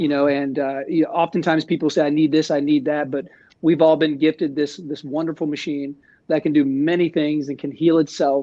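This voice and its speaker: Fairly high pitch, fairly even intonation and a moderate pace from a man with a normal speaking voice. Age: 40s. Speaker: fitness coach. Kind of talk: webinar discussion.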